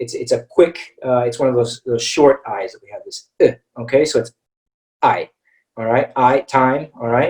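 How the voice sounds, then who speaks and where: A man with an American accent speaks at a moderate pace with big swings in loudness, in a dry, close sound with no echo. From US Midwest, Missouri. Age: 30s. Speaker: English teacher. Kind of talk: online webinar lesson. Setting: online webinar. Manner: hesitant, many fillers.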